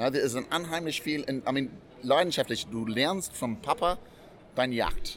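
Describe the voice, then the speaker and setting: An animated tone carries ordinary pitch variation at a moderate pace. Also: man, fairly high pitch for a man. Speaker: hunter and game cook. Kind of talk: casual interview. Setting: trade fair.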